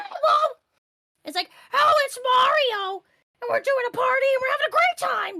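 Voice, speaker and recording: A put-on character voice, squeaky and extremely high-pitched, speaks with long, frequent pauses. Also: moderate pace. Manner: excited, cheerful.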